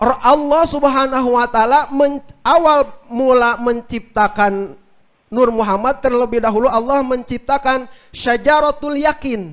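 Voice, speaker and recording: A man speaks at a fairly slow pace in an extremely high pitch. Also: ordinary pitch variation. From West Java (Sundanese). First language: Sundanese (speaking Indonesian). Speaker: Islamic preacher. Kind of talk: religious talk on a radio outdoor broadcast. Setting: mosque gathering with audience, radio broadcast.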